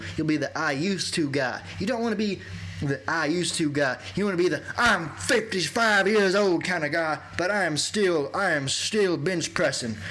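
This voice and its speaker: With an American accent and a high pitch, a man speaks at a moderate pace with lively intonation over noticeable background noise. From US South. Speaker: fitness youtuber / bodybuilder. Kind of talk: workout tutorial voiceover. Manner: loud at times.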